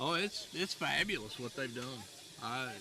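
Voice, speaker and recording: Against noticeable background noise, a man with a Southern US accent talks at a fairly slow pace, his fairly high pitch carrying lively intonation. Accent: Southern American. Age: 60s. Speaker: railroadiana collector. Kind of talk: interview.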